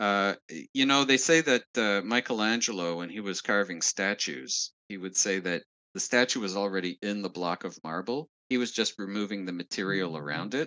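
Speaking at a moderate pace with lively intonation, a man with a Montreal accent has a fairly low-pitched, bright, sharp tone, captured in a dry, close sound with no echo and a quiet background. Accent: Anglophone Montreal Canadian English. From Quebec, Montreal West Island. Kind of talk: interview answering questions.

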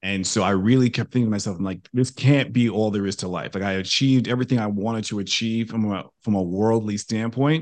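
Against a quiet background, a man with an American accent and a fairly low pitch talks very fast with hardly any pauses and ordinary pitch variation. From New York. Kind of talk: interview.

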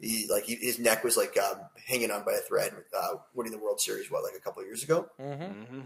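Speaking at a very fast pace, a man talks with a Canadian accent. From Canada (Toronto). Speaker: fantasy baseball analyst. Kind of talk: casual sports talk show.

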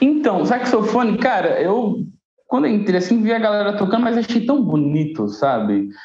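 Audible room echo surrounds a man with a high pitch and lively intonation. He speaks at a moderate pace with very even loudness. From Guarulhos, São Paulo, Brazil. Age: 20s. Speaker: saxophonist and cultural manager. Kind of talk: podcast interview.

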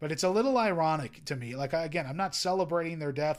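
This very clean recording with a silent background captures a man whose pitch sits fairly high. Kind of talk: angry rant. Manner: sarcastic, exasperated, sputtering with incredulity; emphatic, scolding, mocking tone.

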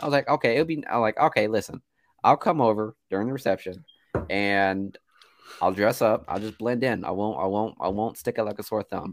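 A man has a normal speaking voice, fairly low in pitch with ordinary pitch variation. He talks at a fairly quick pace, the sound dry and close with no echo. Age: 20s. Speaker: movie podcast co-host. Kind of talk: casual chat. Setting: video call.

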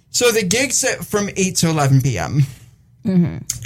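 A man's voice comes across as somewhat breathy. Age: 20s. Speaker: online radio show co-host. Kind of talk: casual chat. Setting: studio.

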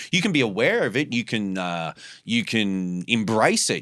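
The speaker has an Australian accent and lively intonation, heard in a very clean recording with a silent background. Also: man. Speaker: podcast host. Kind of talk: casual chat. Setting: studio. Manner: profane, laid-back.

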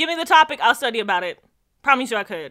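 Raised and projected, a woman's bright, sharp voice makes very wide pitch swings. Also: very clean recording, silent background. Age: 20s. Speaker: podcast co-host. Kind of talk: casual chat.

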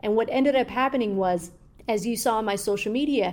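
A woman speaks at a moderate pace with a fairly high pitch and fairly even intonation, in an ordinary speaking voice. The recording is very clean, with a silent background. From Somalia, moved to the US as a child. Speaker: journalist. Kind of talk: interview.

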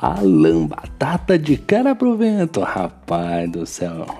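A man speaks with a Brazilian accent. There is noticeable background noise. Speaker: sim racing podcast host. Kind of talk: post-race recap podcast. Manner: casual, filler-heavy with repetitions.

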